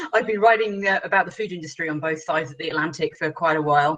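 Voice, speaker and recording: A woman speaks with a British accent. Her pitch is very deep and low. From England, Shrewsbury. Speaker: journalist and editor. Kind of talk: panel discussion.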